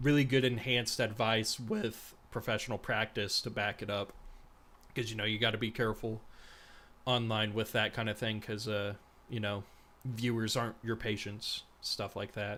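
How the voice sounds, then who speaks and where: A man talks at a moderate pace with an American accent. His tone is bright and sharp, his intonation monotone and flat. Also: medium pitch for a man. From Kansas City, Missouri. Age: 20s. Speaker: gaming streamer. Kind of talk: casual chat. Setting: live stream. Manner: laid-back.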